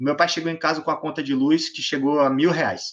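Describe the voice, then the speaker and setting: His pace is very fast. The man's pitch sits fairly high. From Brazil, various states. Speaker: engineering student and startup founder. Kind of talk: casual interview.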